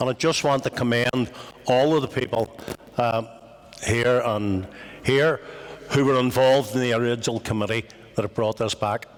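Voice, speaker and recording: Over noticeable background noise, a speaker with a Belfast accent talks at a moderate pace with fairly even intonation and long, frequent pauses. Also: man, medium pitch for a man. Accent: Belfast Northern Irish. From Northern Ireland, West Belfast. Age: 60s. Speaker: Irish language activist. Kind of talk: talk to an audience. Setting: meeting house with audience.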